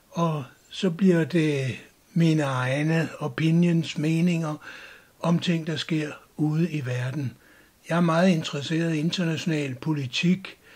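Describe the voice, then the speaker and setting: A man's very slow delivery with fairly even intonation, in a very clean recording with a silent background. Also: fairly high pitch for a man. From Denmark. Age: 60s. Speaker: YouTuber, retired cultural sociologist. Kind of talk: channel introduction monologue.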